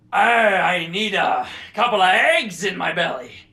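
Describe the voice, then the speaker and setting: Someone uses a put-on character voice that is raspy and fairly high in pitch, speaking at a fairly slow pace with audible echo. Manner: gruff, sleepy.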